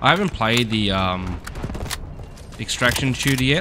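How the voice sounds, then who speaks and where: Loud noise sits in the background. A man speaks over it at a moderate speed. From Australia. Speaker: gaming YouTuber. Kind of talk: gameplay commentary. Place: home room. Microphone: headset.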